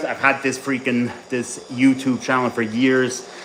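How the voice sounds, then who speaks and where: Noticeable background noise surrounds a man speaking at a medium pitch. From mixed: English father, Swiss mother, school in Ireland. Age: 30s. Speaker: bodybuilding coach. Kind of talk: casual live stream chat during training.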